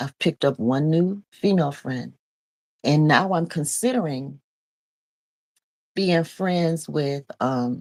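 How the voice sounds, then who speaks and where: A woman's very deep, low voice at a very slow pace, with long, frequent pauses. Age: 50s. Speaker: preacher and vlogger. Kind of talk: casual personal vlog talk. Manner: conversational, many fillers.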